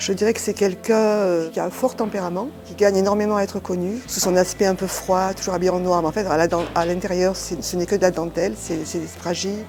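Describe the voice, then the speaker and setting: A woman of medium pitch at a fairly quick pace with hardly any pauses and fairly even intonation, music in the background. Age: 60s. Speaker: shop partner, former clothing retail worker. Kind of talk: documentary interview. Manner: hesitant, many fillers.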